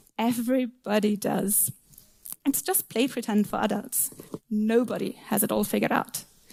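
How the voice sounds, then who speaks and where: With a German accent, a woman speaks fairly slowly at a fairly high pitch, her tone dark and mellow and the sound dry and close with no echo. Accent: non-native English speaker, German. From Germany. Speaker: software tester and conference speaker. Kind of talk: conference talk. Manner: occasional stumbles on words.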